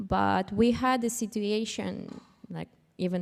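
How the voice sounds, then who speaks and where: In a very clean recording with a silent background, a woman with a non-native accent talks at a very slow pace. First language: not English. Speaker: panelist, cybersecurity professional. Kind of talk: panel discussion. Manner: halting.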